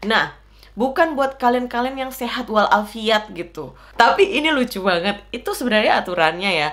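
A woman speaks loudly. Her pitch swings very widely. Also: fairly high pitch for a woman, moderate pace. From Indonesia. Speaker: vlogger. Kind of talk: casual talk to camera. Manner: loud and excitable. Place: home room.

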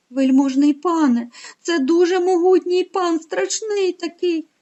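Her put-on character voice climbs to an extremely high pitch. The woman's delivery is fairly slow. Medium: read story. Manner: very polite, flattering.

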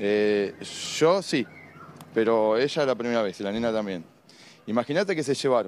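Light background noise accompanies a man talking at a moderate pace with lively intonation, the sound dry with no echo. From Buenos Aires area, Argentina (Lanús); Buenos Aires. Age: 50s. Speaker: crime victim's partner. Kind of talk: live TV street interview. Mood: upset, indignant. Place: street. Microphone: handheld.

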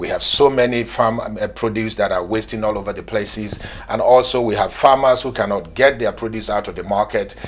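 A man talks at a fairly quick pace with medium pitch and fairly even intonation. Noticeable background noise runs under the speech. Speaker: TV business show presenter. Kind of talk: TV interview and presenting.

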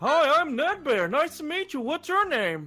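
This put-on character voice sits high in pitch and moves at a moderate pace. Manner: cheerful, friendly.

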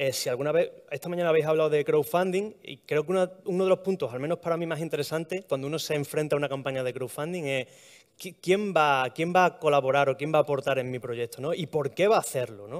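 Someone with an Extremaduran accent talks at a very fast pace with ordinary pitch variation, over a quiet background. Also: man, fairly high pitch for a man. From Extremadura, Spain. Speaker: heritage blogger, art historian; heritage blogger. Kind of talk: talk to live audience. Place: hall.

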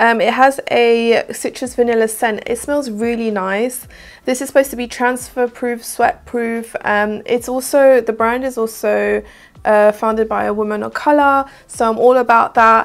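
A woman's fairly high voice in a southern English accent, fairly slow with few pauses and fairly even intonation. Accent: British, southern English.

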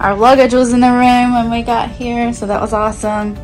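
A woman with clear music in the background. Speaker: travel vlogger. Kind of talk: casual cabin tour talk to camera. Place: home room. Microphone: phone near.

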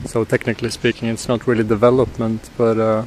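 A man speaks in a flat monotone with a dry sound with no echo, over light background noise. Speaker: tech vlogger. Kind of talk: casual vlog chat. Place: street. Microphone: phone near.

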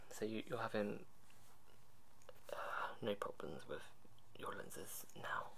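A soft-spoken man over light background noise. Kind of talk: role-play consultation questions. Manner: soft, quiet questioning tone. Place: home room. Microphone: webcam.

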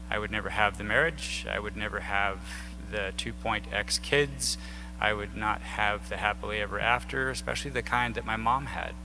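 A man with an American accent, very deep and low in pitch, at a moderate pace, amid noticeable background noise. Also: ordinary pitch variation. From southern Illinois. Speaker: air force veteran and activist. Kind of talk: lecture. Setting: stage with audience. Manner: conversational. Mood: reflective, personal. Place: hall. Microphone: podium.

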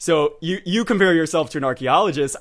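Over a quiet background, a man with an American accent speaks at a fairly quick pace. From Texas. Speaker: historian and podcast host; host, interviewer. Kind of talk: interview. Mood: upbeat, friendly. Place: home room. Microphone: studio mic.

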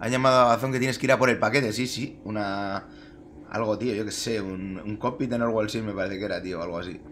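A man's fairly low voice at a very fast pace, over light background noise. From Spain. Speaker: sim racing streamer. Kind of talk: live gameplay commentary. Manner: casual, animated. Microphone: headset.

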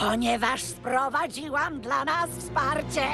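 Over loud background music, a woman in a cartoonish character voice speaks high-pitched at a fairly slow pace. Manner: scheming, commanding.

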